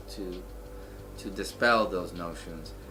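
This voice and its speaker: Audible echo fills the room. The man talks very slowly. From El Salvador. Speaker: surgical resident and veteran. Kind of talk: interview testimony. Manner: halting, many fillers.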